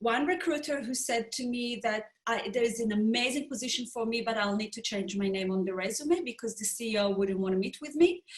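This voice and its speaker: With a non-native accent, a woman at fairly high pitch speaks at a fairly quick pace with lively intonation. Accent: foreign. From Israel. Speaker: business founder and HR professional. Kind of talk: panel discussion. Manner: halting.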